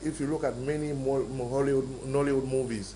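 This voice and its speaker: Audible room echo surrounds this man's fairly high voice as he talks at a fairly quick pace with fairly even intonation. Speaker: film maker. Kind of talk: interview.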